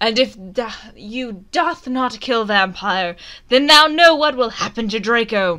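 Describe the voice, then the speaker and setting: Shouting in a put-on character voice at a fairly slow pace, a woman is heard in a very clean recording with a silent background. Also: fairly high pitch for a woman, lively intonation. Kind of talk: comic overacting. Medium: read story. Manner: cruel, shouting, mock-archaic.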